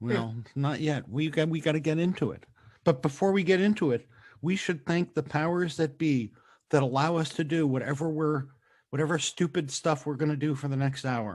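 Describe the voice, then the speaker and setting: At a moderate pace, a man with a fairly high pitch and ordinary pitch variation speaks in an ordinary speaking voice, in a very clean recording with a silent background. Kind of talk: podcast host banter.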